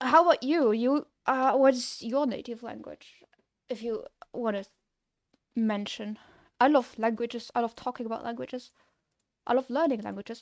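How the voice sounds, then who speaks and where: A woman speaks at a high pitch and moderate pace with a strong Luxembourg accent and fairly even intonation. Her loudness swings widely, and she takes long, frequent pauses. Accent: thick Luxembourgish. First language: Luxembourgish. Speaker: game developer streamer. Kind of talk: casual livestream chat. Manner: casual, hesitant with fillers.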